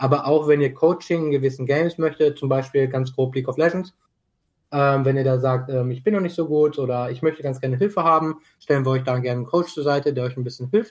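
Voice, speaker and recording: A man talks at a very fast pace with a fairly high pitch. His voice is somewhat breathy, and the background is quiet. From Germany, Dortmund. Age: 20s. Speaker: esports club co-founder. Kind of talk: casual chat.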